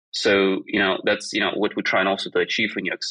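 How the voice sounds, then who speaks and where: A man with a non-native accent talks at a very fast pace in a dry, close recording with no echo. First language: not English. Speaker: design education startup founder. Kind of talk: podcast interview. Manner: hesitant, many fillers.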